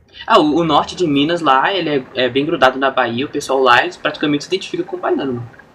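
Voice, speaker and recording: At a very fast pace, a man speaks with a fairly high pitch and ordinary pitch variation over noticeable background noise. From Brazil, interior of São Paulo (São Carlos). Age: 20s. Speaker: streamer. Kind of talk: casual chat. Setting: live stream.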